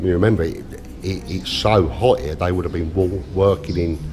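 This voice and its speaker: The pitch varies in an ordinary way over noticeable background noise. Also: man. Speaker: travel vlogger. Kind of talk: casual vlog commentary. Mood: emotional, subdued, hesitant. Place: hall. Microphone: phone near.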